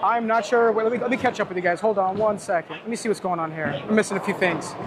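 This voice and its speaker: Against noticeable background noise, a man talks very fast at a high pitch, with ordinary pitch variation. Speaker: bowler and live streamer. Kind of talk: live stream chat. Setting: bowling alley. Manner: sometimes whispering quietly.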